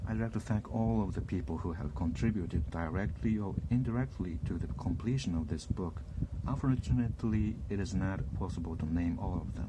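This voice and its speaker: Over noticeable background noise, a man with a very deep, low pitch talks fairly quickly with very wide pitch swings. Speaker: language learning YouTuber. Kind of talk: reading a book preface aloud.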